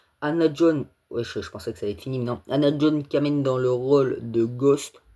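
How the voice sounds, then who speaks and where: A man's dark, mellow tone at a moderate pace, with ordinary pitch variation and big swings in loudness. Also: fairly high pitch for a man. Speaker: YouTuber, film news commentator. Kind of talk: casual video commentary. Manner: halting, stammering.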